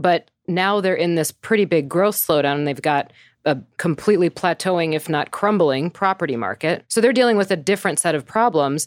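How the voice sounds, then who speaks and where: A woman's plain, everyday voice, fairly low in pitch, with lively intonation and hardly any pauses at a moderate pace, dry and close with no echo. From US Midwest. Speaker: market strategist. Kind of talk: casual chat.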